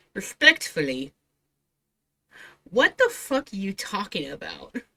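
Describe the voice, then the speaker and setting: At a medium pitch and fairly slow pace, a woman sounds animated and bright, sharp in tone, with vocal fry. Her pitch swings very widely, and the sound is dry and close with no echo. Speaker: VTuber streamer reacting to videos. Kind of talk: casual reaction commentary. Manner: quiet, keeping voice down late at night.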